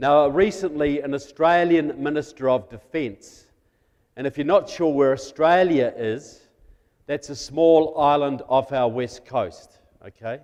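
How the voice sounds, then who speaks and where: A fairly slow pace with a New Zealand accent and ordinary pitch variation. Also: man, fairly high pitch for a man. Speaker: guest speaker on national security. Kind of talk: political talk to church audience. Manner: conversational, humorous.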